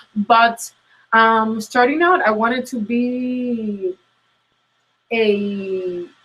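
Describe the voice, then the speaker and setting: With a strong Latin American Spanish accent, a woman speaks at a fairly high pitch with lively intonation. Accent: thick Latin American Spanish. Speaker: career coach. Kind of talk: interview. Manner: hesitant, many fillers.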